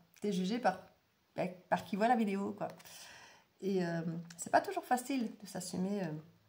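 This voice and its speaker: A somewhat breathy voice with a dark, mellow tone moves at a fairly slow pace. Long, frequent pauses break up speech with ordinary pitch variation. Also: woman, medium pitch for a woman. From Belgium. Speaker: tarot and oracle reader. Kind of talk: casual monologue to viewers. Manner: hesitant, many fillers.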